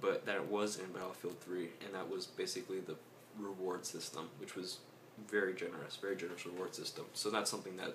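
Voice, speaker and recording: A soft-spoken man amid audible room echo and noticeable background noise. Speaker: gaming youtuber. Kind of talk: casual commentary. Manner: hesitant.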